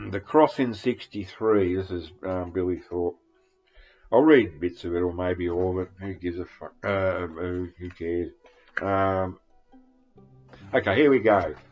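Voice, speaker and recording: Music plays behind a man with a very deep, low voice who speaks fairly slowly, leaving long, frequent pauses. His pitch varies in an ordinary way, while his loudness swings widely. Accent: strong Australian. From Australia. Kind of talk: casual talk to camera.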